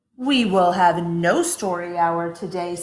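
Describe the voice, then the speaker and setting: Putting on a character voice, a woman speaks with hissing at a fairly low pitch and a fairly slow pace. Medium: read story. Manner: harsh, snappish.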